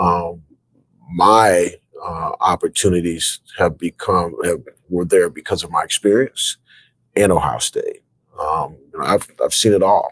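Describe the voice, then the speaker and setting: A man talks at a fairly slow pace, broken by long, frequent pauses. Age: 60s. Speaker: university athletic director. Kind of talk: interview. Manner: hesitant, many fillers.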